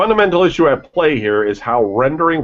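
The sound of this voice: Big pitch swings at a fairly quick pace. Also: man.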